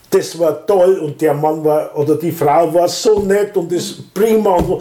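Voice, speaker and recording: Against noticeable background noise, a man speaks at a high pitch with ordinary variation. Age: 60s. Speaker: volunteer organizer of a senior-help association. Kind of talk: casual interview. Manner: halting.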